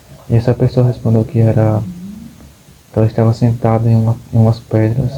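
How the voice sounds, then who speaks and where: Over noticeable background noise, a man speaks in a monotone, flat intonation. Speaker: book vlogger. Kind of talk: casual vlog monologue. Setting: at home. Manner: halting, repeats words.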